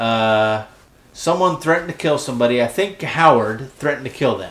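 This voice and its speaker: This man talks at a fairly quick pace, with a medium pitch and ordinary pitch variation. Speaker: podcast co-host. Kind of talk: casual chat. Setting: mostly empty room at a new farm property. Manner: loud. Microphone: echoey room.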